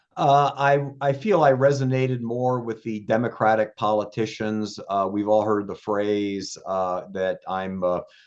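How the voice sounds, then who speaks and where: A man speaks at a fairly slow pace with a fairly low pitch, ordinary pitch variation and hardly any pauses against a quiet background. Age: 60s. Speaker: local party official. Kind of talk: podcast interview. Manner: halting, many filler words.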